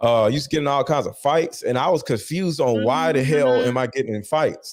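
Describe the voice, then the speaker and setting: On a very clean recording with a silent background, a man with a Philadelphia accent talks at a moderate pace and a fairly high pitch. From Philadelphia, US. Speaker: author interviewed about his life. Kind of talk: interview. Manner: animated.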